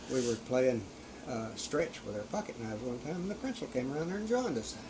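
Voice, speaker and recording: Amid noticeable background noise and audible room echo, a man talks at a very fast pace with very wide pitch swings. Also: medium pitch for a man. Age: 70s. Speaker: elderly assault victim. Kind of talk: casual chat.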